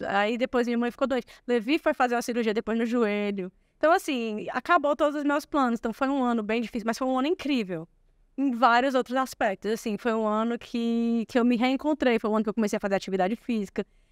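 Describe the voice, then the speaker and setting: Very fast and fairly high in pitch, a woman speaks with ordinary pitch variation in a dry, close sound with no echo, on a very clean recording with a silent background. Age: 40s. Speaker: lawyer. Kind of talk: podcast interview.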